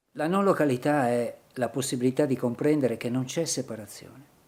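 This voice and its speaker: The man's medium-pitched voice moves at a fairly slow pace, its pitch shifting in a normal way. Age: 60s. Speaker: painter. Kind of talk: reflective monologue in short film.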